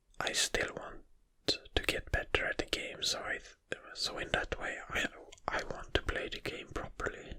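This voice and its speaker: A whisper, delivered at a fairly slow pace. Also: man. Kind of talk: ASMR whispered rambling. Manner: whispered.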